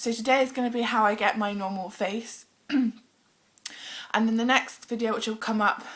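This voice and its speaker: Someone speaks with a British accent over noticeable background noise. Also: woman. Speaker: beauty vlogger. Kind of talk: makeup tutorial. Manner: casual, hesitant with ums.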